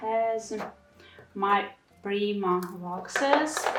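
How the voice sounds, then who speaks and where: A woman with a non-native accent speaks at a fairly high pitch over noticeable background noise. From Ukraine (Kyiv). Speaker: craft YouTuber. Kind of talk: room tour video. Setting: home craft room.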